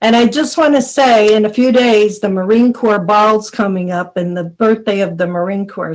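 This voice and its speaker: Speaking at a fairly slow pace, a woman with an American accent and an ordinary speaking voice uses a fairly high pitch with ordinary pitch variation. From Buffalo, New York. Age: 60s. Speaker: army veteran. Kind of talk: podcast interview. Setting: podcast recording.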